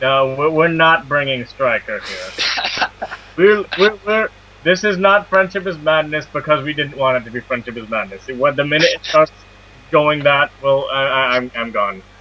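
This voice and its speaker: A fairly high-pitched man at a moderate pace, with noticeable background noise. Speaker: podcast co-host. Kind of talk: casual podcast interview.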